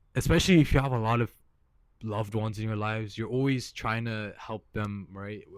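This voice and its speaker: The speaker has a relaxed tone, fairly even intonation and a moderate pace. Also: man, very clean recording, silent background. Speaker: vlogger. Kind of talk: casual monologue. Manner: halting, repeats words; casual, relaxed.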